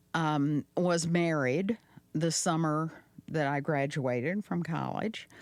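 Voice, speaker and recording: Very slow, very deep and low speech from a woman, with very even loudness and ordinary pitch variation. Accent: slight Southern US. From Arkansas. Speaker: podcast guest. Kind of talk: casual chat.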